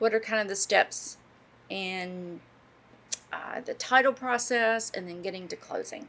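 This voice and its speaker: In a West Virginia accent, a woman with a fairly high pitch and a bright, sharp tone speaks at a fairly slow pace with long, frequent pauses and big swings in loudness. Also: ordinary pitch variation. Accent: noticeable West Virginia. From southern West Virginia (Bluefield). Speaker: podcast co-host, real estate professional. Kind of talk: podcast interview.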